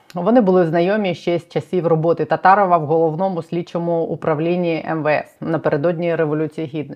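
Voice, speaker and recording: A woman's unremarkable speaking voice, fairly low in pitch and fairly quick in pace. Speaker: journalist, channel host. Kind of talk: news presentation and interview. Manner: formal.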